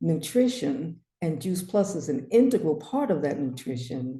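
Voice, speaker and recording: A woman's dark, mellow voice, fairly low in pitch, at a very slow pace with audible room echo. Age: 70s. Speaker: naturopath. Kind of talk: webinar presentation.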